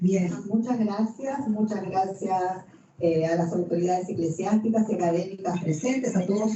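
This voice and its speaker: A woman with an Argentine accent speaks fairly slowly with ordinary pitch variation over noticeable background noise. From Argentina. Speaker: canon lawyer and professor. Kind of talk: lecture. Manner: hesitant fillers, conversational.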